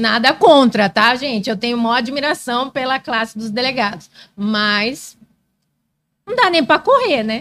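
A high female voice with ordinary pitch variation. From Brazil, Mato Grosso (Várzea Grande). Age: 30s. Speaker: lawyer. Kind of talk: casual chat.

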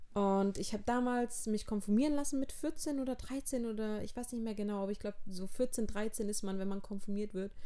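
A woman with a fairly high pitch and a dark, mellow tone talks at a fairly quick pace with hardly any pauses, in a room with audible echo. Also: ordinary pitch variation. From southern Germany, near Heilbronn. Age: 20s. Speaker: podcaster. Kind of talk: personal monologue.

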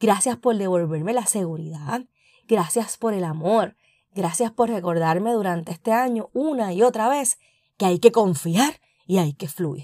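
This woman has a dark, mellow tone and a medium pitch. She speaks at a fairly slow pace with lively intonation. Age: 40s. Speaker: podcast host. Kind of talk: personal reflection monologue.

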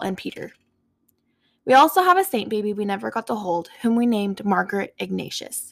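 The recording is very clean, with a silent background. A woman talks at a moderate pace. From US Southwest, Four Corners area of New Mexico. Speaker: podcast host. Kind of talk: solo personal monologue.

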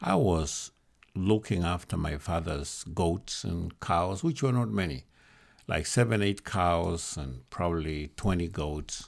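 A man's very deep, low voice with a Kenyan accent, very slow and with ordinary pitch variation, on a very clean recording with a silent background. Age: 70s. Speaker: bishop, church leader. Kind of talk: interview conversation.

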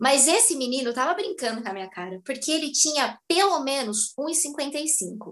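Pitch swings very widely throughout. The speaker leaves hardly any pauses. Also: woman, high pitch for a woman, moderate pace. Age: 20s. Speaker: actress and dance teacher. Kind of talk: casual chat.

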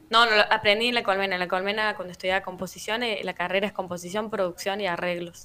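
Noticeable background noise sits behind a woman speaking at a very fast pace. Her medium-pitched voice is monotone and flat. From Argentina, La Rioja (city). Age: 30s. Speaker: musician. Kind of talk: casual interview. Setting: remote live radio interview.

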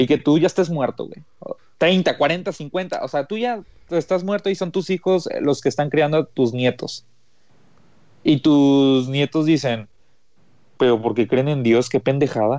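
Speaking in a Mexican accent, a man uses a fairly high pitch and lively intonation. His pace is fairly slow, with long, frequent pauses. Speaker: podcast co-host. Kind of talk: casual chat.

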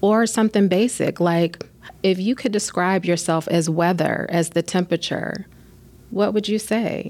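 Medium pitch and very even loudness from a woman, with fairly even intonation at a moderate pace. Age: 40s. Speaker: supervisor of school psychologists. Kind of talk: podcast interview; guided breathing exercise.

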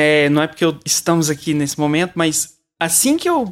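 With lively intonation and a high pitch, a man talks at a moderate pace. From Brazil, Uberlândia, Minas Gerais. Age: 30s. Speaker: children's composer and musician. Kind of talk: casual interview chat.

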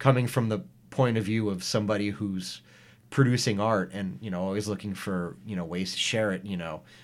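A man with an American accent and a normal speaking voice, fairly low in pitch, with ordinary pitch variation and a fairly quick pace. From US Northeast (Hudson Valley, New York). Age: 30s. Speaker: artist and middle school teacher. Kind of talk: casual chat. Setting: studio.

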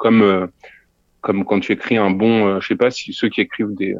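In a monotone, flat intonation, a man talks fairly quickly. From Lorraine, France (near Nancy). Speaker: audio fiction creator. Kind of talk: interview. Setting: remote call from a theatre hall. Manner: halting.

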